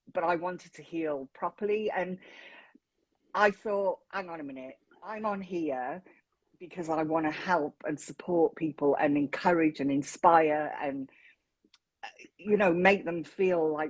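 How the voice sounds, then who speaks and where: A southern English accent, ordinary pitch variation, and a dry, close sound with no echo. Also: woman, fairly low pitch for a woman. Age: 50s. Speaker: mental health advocate. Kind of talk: casual interview chat.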